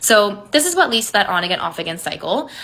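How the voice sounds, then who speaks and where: A woman talking at a very fast pace, animated in tone, over noticeable background noise. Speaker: manifestation coach. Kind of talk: social media monologue. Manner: casual, animated.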